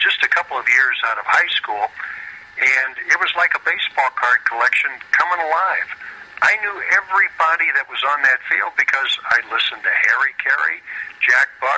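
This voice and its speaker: Someone with a Midwestern American accent talks at a moderate pace over noticeable background noise. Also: man. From US Midwest, St. Louis. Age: 60s. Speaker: retired baseball pitcher. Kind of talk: interview.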